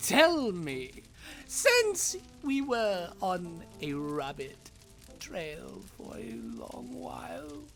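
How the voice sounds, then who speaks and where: A put-on character voice, female-sounding, at a very slow pace over clear music in the background. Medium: audio drama. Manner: theatrical, mocking.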